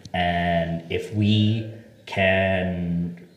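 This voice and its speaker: Against noticeable background noise and audible room echo, a man with an American accent speaks at fairly low pitch in monotone, flat intonation. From US Northeast, Boston, Massachusetts. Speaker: tech startup founder. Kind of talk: interview conversation. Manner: talkative.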